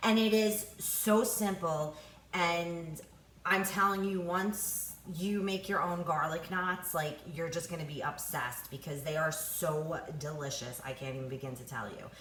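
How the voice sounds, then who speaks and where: A woman with an American accent speaks in a fairly low pitch, with ordinary pitch variation and big swings in loudness. Audible room echo and noticeable background noise are present. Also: fairly slow pace. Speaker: home cook, cooking video host. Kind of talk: casual cooking tutorial. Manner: animated, enthusiastic.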